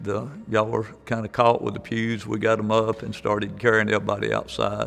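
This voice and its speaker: A man talks at a moderate pace with an Alabama accent. Noticeable background noise runs under his voice. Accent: Southern US (Alabama). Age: 70s. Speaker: tornado survivor. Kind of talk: testimony. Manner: halting.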